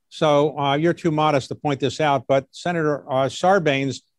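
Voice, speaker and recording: With an American accent, a man talks in a plain, everyday voice at a fairly high pitch and a moderate pace. The sound is dry and close with no echo, the background is quiet, and his pitch varies in an ordinary way. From US, Baltimore. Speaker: interviewer. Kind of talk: interview.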